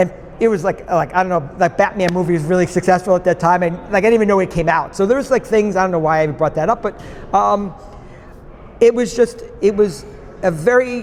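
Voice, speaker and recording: A man's high-pitched voice with a New York accent at a very fast pace, with ordinary pitch variation and noticeable background noise. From New York State, outside New York City. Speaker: podcast guest. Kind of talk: interview conversation. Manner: many fillers and restarts.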